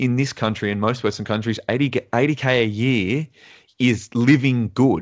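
A man with a normal speaking voice at a medium pitch, moderate pace and ordinary pitch variation, over a quiet background. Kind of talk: casual chat.

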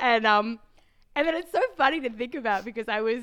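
In an Australian accent, a woman speaks with a bright, sharp tone and lively intonation. The recording is very clean, with a silent background. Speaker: science podcast host. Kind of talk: interview.

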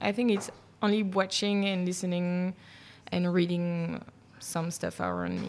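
With a Belgian French accent, a woman speaks at a fairly low pitch in a monotone, flat way, leaving long, frequent pauses. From Brussels, Belgium. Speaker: journalist and podcast host. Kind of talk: casual interview chat. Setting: cheese bar. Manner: hesitant, many fillers.

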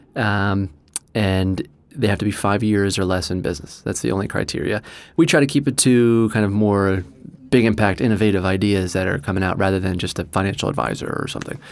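A fairly low-pitched man with an American accent, at a fairly quick pace, with ordinary pitch variation. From New Jersey. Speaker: entrepreneur. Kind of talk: interview. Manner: hesitant, many fillers.

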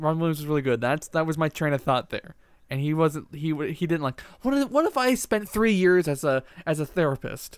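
A man uses a normal speaking voice with a fairly high pitch. He talks at a fairly quick pace with lively intonation. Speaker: podcast co-host and editor. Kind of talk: casual chat. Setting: remote online call.

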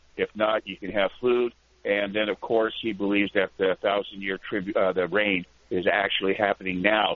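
A man speaks at a moderate pace. His fairly low voice stays monotone and flat. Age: 60s. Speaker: truck driver calling a radio show. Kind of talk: call-in question. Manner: halting, many fillers.

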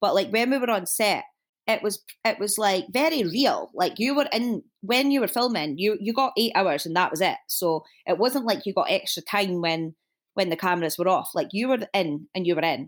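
In a Dundee accent, a woman speaks at a moderate pace and medium pitch, her loudness very even and her pitch swinging very widely, on a very clean recording with a silent background. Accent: Dundee Scottish. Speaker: fashion designer and shop owner. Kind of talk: casual chat.

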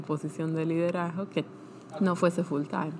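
A woman with a normal speaking voice at a moderate pace. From Argentina (Buenos Aires and Bahía Blanca). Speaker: scientist, lab head. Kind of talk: interview. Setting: early morning recording.

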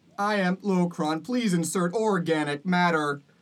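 A robotic, female-sounding put-on character voice speaks at a moderate pace with a fairly low pitch for a woman.

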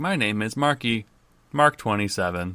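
Against a silent background in a very clean recording, a man puts on a robotic character voice at a medium pitch. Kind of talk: flat, mechanical. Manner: slow, halting, robotic.

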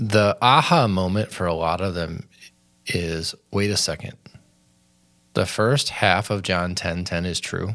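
A man with an American accent speaks at a fairly slow pace in a very deep, low pitch. Long pauses come often. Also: ordinary pitch variation. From Michigan, US. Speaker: podcast host. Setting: studio, around a table.

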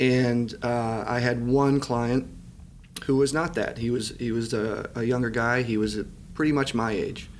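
A man with an American accent speaks at a fairly slow pace with fairly even intonation, and the room echo is audible. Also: medium pitch for a man. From US Midwest, southeastern Michigan. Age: 30s. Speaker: real estate developer and company lawyer. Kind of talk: interview. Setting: office.

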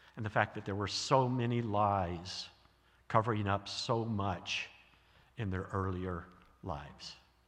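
Amid audible room echo, a man with an American accent speaks at a fairly low pitch and a fairly slow pace, with long, frequent pauses. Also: ordinary pitch variation. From US South. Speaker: guest preacher, theologian. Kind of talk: sermon.

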